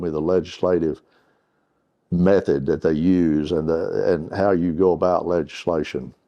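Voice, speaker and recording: A man with an Arkansas accent speaks at a moderate pace. His pitch is very deep and low, with fairly even intonation. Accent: Southern US (Arkansas). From Northeast Arkansas. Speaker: retired water utility executive. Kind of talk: oral history interview. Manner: halting, with many fillers.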